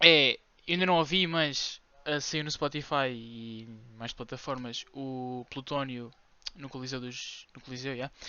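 A man speaks at a fairly slow pace in a medium pitch. His intonation stays fairly even while his loudness swings a lot. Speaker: podcast co-host. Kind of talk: casual chat. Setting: room with window open.

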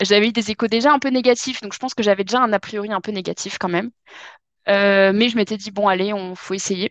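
Dry and close with no echo, a woman's medium-pitched voice moves at a fairly quick pace. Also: fairly even intonation, quiet background. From southwest France, Dordogne. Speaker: French teacher. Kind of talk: casual chat. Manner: hesitant, many fillers.

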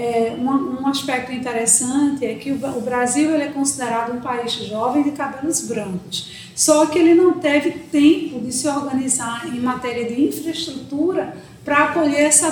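Amid noticeable background noise and audible room echo, a woman talks at a high pitch with ordinary variation, at a moderate pace with hardly any pauses. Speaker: psychology professor. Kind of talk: interview.

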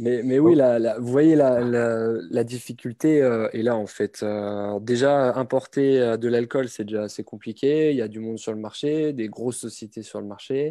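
A man's dark, mellow voice at medium pitch, with fairly even intonation, a fairly slow pace and hardly any pauses. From France, Reims (Champagne). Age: 30s. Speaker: aspiring champagne importer, logistics worker. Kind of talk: live webinar Q&A.

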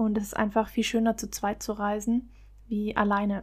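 Fairly high in pitch and somewhat breathy, a woman speaks at a fairly quick pace. The recording is very clean, with a silent background. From Baden-Württemberg, Germany. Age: 20s. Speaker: travel podcaster. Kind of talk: solo podcast monologue.

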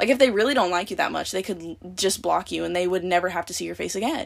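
In a very clean recording with a silent background, a woman with an American accent talks at a very fast pace, with lively intonation and vocal fry. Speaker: podcast host. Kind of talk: casual solo monologue. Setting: closet at parents' house. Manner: soft-spoken.

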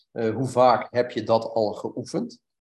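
Speaking very slowly, a man holds a medium pitch. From Brabant, Netherlands. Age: 50s. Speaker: former marine, sports instructor, CrossFit athlete. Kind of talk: interview answers, casual talk.

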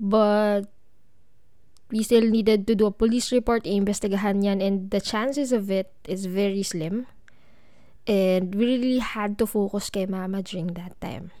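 In a Filipino accent, a woman talks at a moderate pace with a dark, mellow tone, medium pitch and fairly even intonation, on a very clean recording with a silent background. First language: Tagalog. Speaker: podcast host. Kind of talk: personal storytelling monologue.

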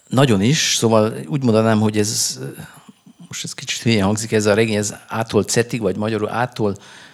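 A man talks at a fairly quick pace with a fairly low pitch and ordinary pitch variation. Noticeable background noise runs underneath. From Hungary, Budapest. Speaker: novelist. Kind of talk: interview at a book festival. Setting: stage with audience. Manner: halting, many fillers and repetitions.

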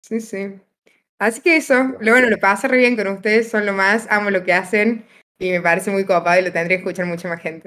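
A woman with an unremarkable speaking voice talks at a fairly quick pace. Her pitch is medium, with ordinary pitch variation. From Argentina, Río Cuarto (Córdoba). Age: 20s. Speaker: medical student, podcast guest. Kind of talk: casual chat.

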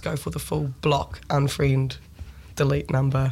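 Here a woman talks with a New Zealand accent. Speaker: songwriter and band frontperson. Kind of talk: casual radio interview.

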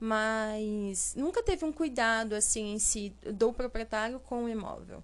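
A woman's fairly high-pitched voice, a normal speaking voice, at a fairly slow pace against a quiet background. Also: ordinary pitch variation, hardly any pauses. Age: 20s. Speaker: administrative assistant and first-time home buyer. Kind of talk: interview.

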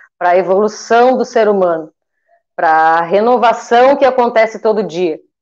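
Fairly slow speech from a woman with a fairly high voice and ordinary pitch variation. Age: 40s. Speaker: eyebrow designer, small business owner. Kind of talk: interview on a livestream.

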